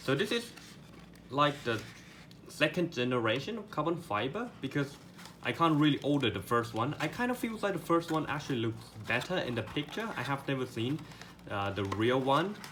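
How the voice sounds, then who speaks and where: Over noticeable background noise, a man with a non-native accent speaks at a moderate pace and fairly high pitch, his pitch swinging very widely. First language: not English. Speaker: product reviewer. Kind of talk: unboxing review. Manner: halting, many fillers and repeats; enthusiastic.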